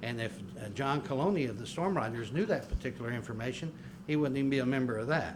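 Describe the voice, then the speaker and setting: Speaking very fast, a man at medium pitch uses lively intonation. The recording carries noticeable background noise and audible room echo. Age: 60s. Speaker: public commenter at city council meeting. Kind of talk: public comment at council meeting. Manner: halting, frequent fillers and restarts.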